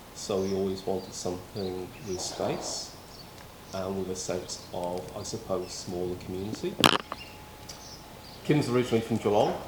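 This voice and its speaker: A man with a British accent talks at a moderate pace in a very deep, low pitch, with fairly even intonation and long, frequent pauses. Noticeable background noise and audible room echo surround him. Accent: non-local UK. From Wales, city-raised. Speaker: former police officer, volunteer firefighter. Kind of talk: casual interview.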